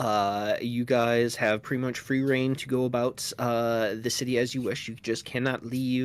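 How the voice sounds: A natural reading voice, intonation kept fairly even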